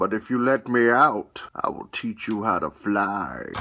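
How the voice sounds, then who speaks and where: Using a put-on character voice, a man speaks fairly slowly at medium pitch. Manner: dry, deadpan.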